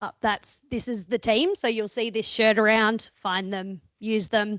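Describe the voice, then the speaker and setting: With an Australian accent, a woman talks at a fairly slow pace in a dry, close sound with no echo over a quiet background. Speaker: sports chiropractor. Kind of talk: presentation talk. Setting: talk to an audience with microphone. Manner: animated; loud.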